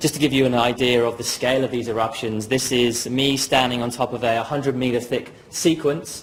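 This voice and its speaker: A man with a British accent, medium pitch and fairly even intonation, amid noticeable background noise. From southern England, Dorset. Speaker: geoscience graduate. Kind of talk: presentation. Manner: halting, many fillers.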